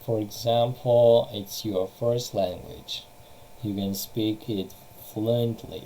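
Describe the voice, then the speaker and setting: A very slow pace in a Russian accent. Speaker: English teacher. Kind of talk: online lesson.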